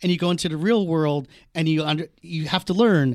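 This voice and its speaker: A man with a normal speaking voice and an American accent, fairly high-pitched, at a fairly quick pace with ordinary pitch variation, on a very clean recording with a silent background. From US East Coast, Washington D.C. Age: 50s. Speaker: TV comedy writer. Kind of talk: casual chat.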